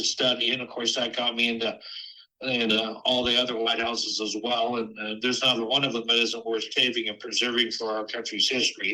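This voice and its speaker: A man at medium pitch talks at a fairly quick pace. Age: 60s. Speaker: lighthouse preservation society president. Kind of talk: podcast interview. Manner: halting, many fillers.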